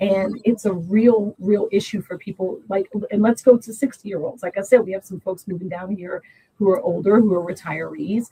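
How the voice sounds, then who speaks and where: A woman speaks at medium pitch and a moderate pace, somewhat breathy, with a dark, mellow tone, big swings in loudness and a dry, close sound with no echo. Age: 60s. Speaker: congressional candidate and social worker. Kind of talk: interview.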